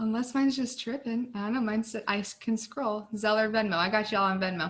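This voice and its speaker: Mumbling at a moderate pace, a woman with a fairly high pitch and ordinary pitch variation has a bright, sharp tone. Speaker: nursing student tutor. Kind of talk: tutoring session. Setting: video call.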